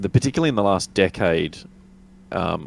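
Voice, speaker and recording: Speaking at a moderate pace, a man with an Australian accent has a very deep, low pitch. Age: 40s. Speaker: tabletop wargamer. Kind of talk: casual chat.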